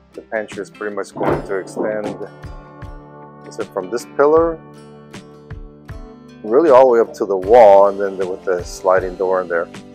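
Over clear music in the background, a man with a fairly low pitch talks at a moderate pace, with big swings in loudness and long, frequent pauses. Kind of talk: casual vlog chat. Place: home room. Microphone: phone near.

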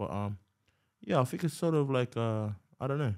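A man speaks very fast with only quiet in the background. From New Zealand. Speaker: rapper; podcast guest. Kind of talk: casual interview chat. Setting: podcast studio. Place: studio. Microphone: studio mic.

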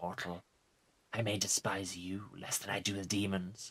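At a moderate speed, the speaker performs in a put-on character voice. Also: man. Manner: menacing, solemn.

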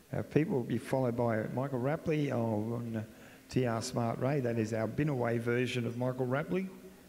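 This man, at a medium pitch, talks at a moderate pace with an Australian accent. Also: ordinary pitch variation. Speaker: arena announcer. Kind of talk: live commentary.

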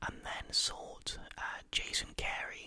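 A man is whispering. He goes at a very slow pace. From England. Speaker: ASMR creator. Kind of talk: soft-spoken true crime ASMR narration. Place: home room. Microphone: studio mic.

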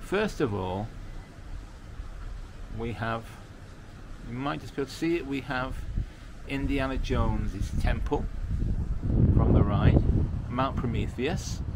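Loud background noise fills the clip. A man speaks with long, frequent pauses. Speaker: travel vlogger. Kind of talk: casual vlog chat. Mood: cheerful, enthusiastic. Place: street. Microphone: phone near.

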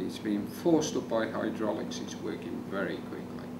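A man talks while noticeable background noise continues. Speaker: hypnotist. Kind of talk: hypnosis induction. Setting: demonstration on camera with a volunteer. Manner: rapid, repetitive, commanding; soothing, suggestive. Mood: calm, soothing, repetitive. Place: meeting room.

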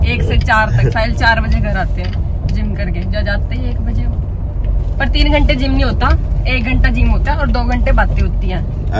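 A woman at a moderate pace over loud background noise. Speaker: family vlogger. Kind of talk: casual vlog chat. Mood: playful, teasing. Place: car. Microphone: phone near.

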